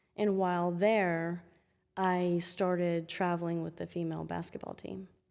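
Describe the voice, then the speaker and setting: A woman speaks at a moderate pace in a Southern US accent, her fairly low voice monotone and flat. The recording is very clean, with a silent background. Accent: charming Southern US. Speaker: chiropractor. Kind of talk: interview.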